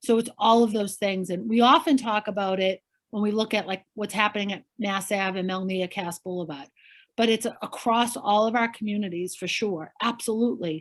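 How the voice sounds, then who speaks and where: In a very clean recording with a silent background, a woman speaks at a moderate pace with a Boston accent. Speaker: politician. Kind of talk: interview answer.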